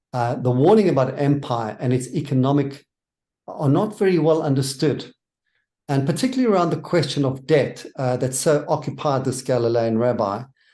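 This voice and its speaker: A man with a South African accent, fairly high-pitched, with a dark, mellow tone, ordinary pitch variation and a moderate pace. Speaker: minister and theologian. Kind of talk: interview.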